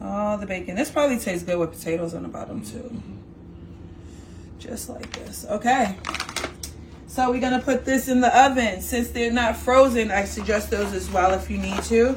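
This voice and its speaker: Against noticeable background noise, a woman with a New York accent talks in an animated tone at a moderate pace, with big swings in loudness and long, frequent pauses. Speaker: home cook. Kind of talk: cooking tutorial.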